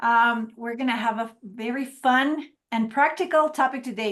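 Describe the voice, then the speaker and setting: A woman speaks with a Spanish accent. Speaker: marketing trainer. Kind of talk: webinar presentation.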